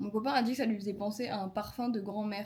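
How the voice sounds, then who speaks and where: Over noticeable background noise, a woman talks with a fairly high pitch. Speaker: vlogger and makeup artist. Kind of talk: casual vlog. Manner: animated.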